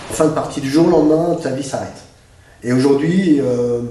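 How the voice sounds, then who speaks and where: Speech comes at a moderate pace with ordinary pitch variation, set against noticeable background noise and audible room echo. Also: man. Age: 60s. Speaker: author and speaker. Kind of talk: interview. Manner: hesitant, many fillers.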